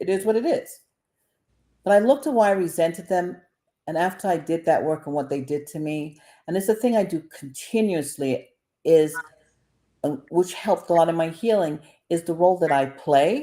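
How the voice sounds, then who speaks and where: A woman with a New York accent and a fairly low, dark, mellow voice speaks at a moderate pace with ordinary pitch variation and long, frequent pauses. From Brooklyn, New York. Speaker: mental health counselor. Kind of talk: casual chat. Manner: loud.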